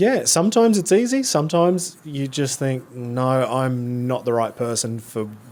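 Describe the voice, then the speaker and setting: A man with an Australian accent speaks at medium pitch with lively intonation. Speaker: freestyle motocross rider. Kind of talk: casual interview.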